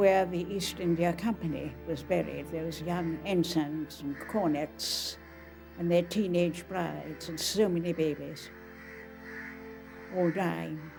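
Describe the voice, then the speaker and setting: Music plays in the background. A woman speaks at a very slow pace. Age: 80s+. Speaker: author. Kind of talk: documentary interview recollection.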